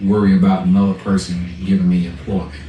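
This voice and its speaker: Over noticeable background noise, a man speaks at a fairly low pitch in monotone, flat intonation. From US South, Charlotte, North Carolina. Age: 60s. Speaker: barber. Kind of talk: interview.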